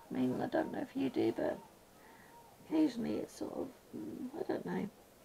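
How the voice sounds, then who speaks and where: This is a woman speaking with a British accent. Background noise is noticeable throughout. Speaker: colouring YouTuber. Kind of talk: casual chat while colouring. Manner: soft-spoken, sometimes mumbling; hesitant, many ums.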